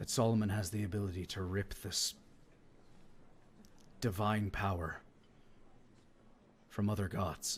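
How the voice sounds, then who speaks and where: A man puts on a raspy character voice, fairly low in pitch, with fairly even intonation. He moves at a moderate pace with long, frequent pauses. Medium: actual play. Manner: earnest, measured.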